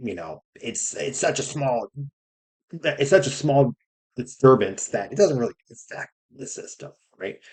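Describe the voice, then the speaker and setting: Speaking at a fairly slow pace with long, frequent pauses, a man uses a medium pitch with very wide swings and some vocal fry. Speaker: science educator. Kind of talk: casual lecture. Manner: casual, filler-heavy with frequent right?.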